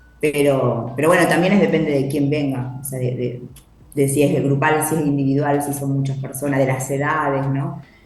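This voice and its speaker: A woman with a very deep, low pitch and monotone, flat intonation at a moderate pace, with audible room echo and noticeable background noise. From Argentina, Buenos Aires coast (Santa Teresita). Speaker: poet and writing workshop leader. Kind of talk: interview.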